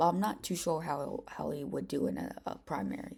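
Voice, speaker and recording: A woman's dark, mellow tone with vocal fry, at a moderate pace. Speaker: political commentary youtuber. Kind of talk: casual commentary. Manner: halting, stuttering.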